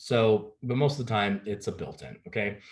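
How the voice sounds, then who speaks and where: With lively intonation, a man speaks at a medium pitch in a somewhat breathy voice. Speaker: real estate agent. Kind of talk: presentation on home buying. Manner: fast.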